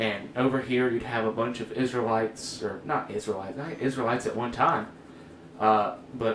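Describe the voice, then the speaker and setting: Noticeable background noise accompanies speech delivered at a moderate pace with fairly even intonation. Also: man. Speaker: church youth podcast host. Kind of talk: casual chat. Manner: halting.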